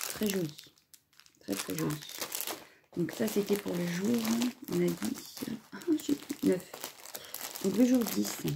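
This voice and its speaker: Amid noticeable background noise, a woman talks at a very slow pace with long, frequent pauses. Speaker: crafting YouTuber. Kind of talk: video unboxing. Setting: home, filming at a table. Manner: casual, hesitant with many fillers. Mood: relaxed, friendly. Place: home room. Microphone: phone near.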